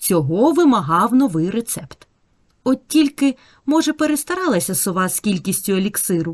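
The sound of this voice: This is an unforced reading voice. The delivery is an unforced reading voice throughout.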